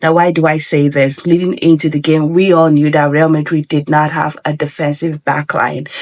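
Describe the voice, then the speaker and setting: The speech moves at a moderate pace with hardly any pauses over noticeable background noise. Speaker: football pundit. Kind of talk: casual chat.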